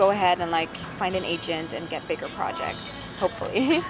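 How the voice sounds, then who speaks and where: Music in the background and audible room echo behind a woman at a medium pitch and a moderate pace. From northern Germany. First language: German. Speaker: actress. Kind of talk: interview. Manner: halting, many fillers.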